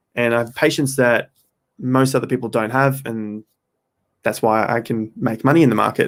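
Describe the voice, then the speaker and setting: On a very clean recording with a silent background, a man with an Australian accent talks at a moderate pace with fairly even intonation. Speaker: crypto trading streamer. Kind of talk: live stream chat. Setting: live stream, under studio lights.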